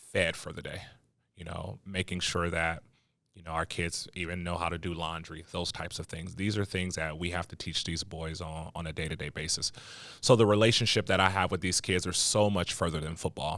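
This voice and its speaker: An American-accented man speaks fairly quickly with fairly even intonation. His tone is bright and sharp, on a very clean recording with a silent background. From US West Coast, South Central Los Angeles (Watts). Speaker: youth football coach. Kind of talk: podcast interview. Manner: casual, many fillers.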